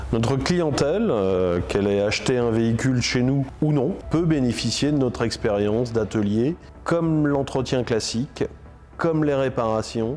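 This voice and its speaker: Over background music, a man speaks at a fairly slow pace in a medium pitch with ordinary pitch variation and very even loudness. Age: 40s. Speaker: business owner. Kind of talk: promotional interview. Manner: hesitant, frequent fillers.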